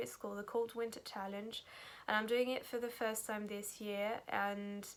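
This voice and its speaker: Here a woman talks with a French accent and a fairly high pitch. Her intonation is monotone and flat. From France. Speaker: book vlogger. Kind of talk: casual vlog. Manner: halting, many fillers.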